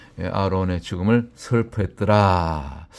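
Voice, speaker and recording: A man talks with ordinary pitch variation. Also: very clean recording, silent background. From Gyeongsang Province, South Korea. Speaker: pastor. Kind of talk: sermon. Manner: hesitant, many fillers.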